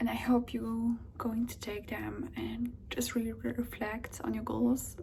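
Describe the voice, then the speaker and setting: A woman speaks at a very slow pace with a non-native accent, and there is noticeable background noise. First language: not English or Spanish. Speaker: language-learning vlogger. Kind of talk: casual tutorial vlog. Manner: hesitant, many filler ums.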